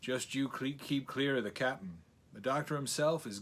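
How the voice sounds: The reading voice sounds natural, and its intonation stays fairly even.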